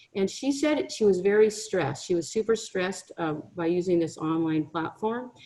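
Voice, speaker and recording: Against noticeable background noise, a woman with a medium pitch speaks at a fairly quick pace with lively intonation. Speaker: career counselor. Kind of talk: webinar presentation. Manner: fast.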